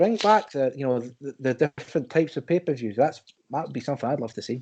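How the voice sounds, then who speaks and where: Against a quiet background, a man talks fairly quickly in a dark, mellow tone at a fairly high pitch, with ordinary pitch variation. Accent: Scottish. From Scotland. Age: 30s. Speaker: wrestling podcast guest. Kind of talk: casual chat. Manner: animated.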